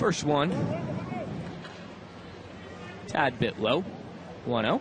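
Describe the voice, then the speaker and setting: There is noticeable background noise as a man speaks in a fairly high pitch with very wide pitch swings. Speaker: sports broadcaster. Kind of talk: baseball TV play-by-play.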